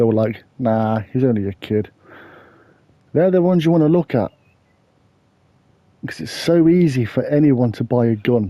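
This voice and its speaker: A man speaks with an English accent and lively intonation. He leaves long, frequent pauses. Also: medium pitch for a man, moderate pace. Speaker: true crime YouTuber. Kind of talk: casual true crime narration.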